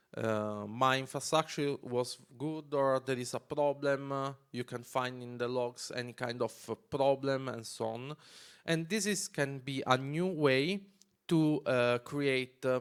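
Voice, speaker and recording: A man's medium-pitched voice in an Italian accent, fairly slow, with ordinary pitch variation. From Italy. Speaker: developer advocate. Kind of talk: conference talk. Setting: stage with audience. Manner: halting.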